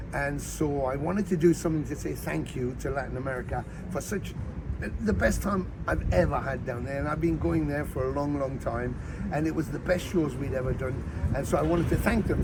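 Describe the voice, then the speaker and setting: Fairly quick speech from a man, with noticeable background noise and audible echo from the room. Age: 60s. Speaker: rock bassist and singer. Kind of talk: interview. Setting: outdoors. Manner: animated, with hesitations and repetitions.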